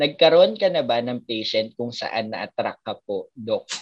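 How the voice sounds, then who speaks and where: The speaker is a woman with a very deep, low pitch. She talks at a fairly slow pace. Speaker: doctor and podcast co-host. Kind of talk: casual chat.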